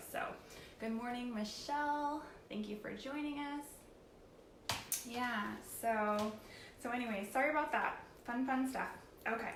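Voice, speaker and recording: Amid noticeable background noise and audible room echo, a woman speaks at a fairly slow pace in a high pitch with ordinary pitch variation, leaving long, frequent pauses. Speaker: paint company tutorial host. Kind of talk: live tutorial. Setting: live stream on computer. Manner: hesitant, many fillers.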